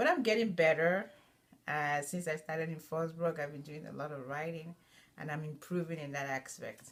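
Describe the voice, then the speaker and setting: A woman speaks with a Nigerian accent. Her voice is very deep and low, and her pace is moderate. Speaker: student. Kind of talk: personal narrative. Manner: halting, many fillers.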